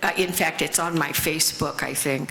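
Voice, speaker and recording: A woman with an American accent speaks at a fairly low pitch and a moderate pace over noticeable background noise. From US Midwest, Lafayette Indiana. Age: 80s+. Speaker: recovery speaker. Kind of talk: testimony.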